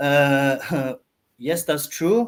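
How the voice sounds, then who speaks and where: In a very clean recording with a silent background, a man talks at a fairly high pitch with a Norwegian accent. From Norway. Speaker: entrepreneur. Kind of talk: podcast interview. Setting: live-streamed podcast. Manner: halting, many fillers and restarts.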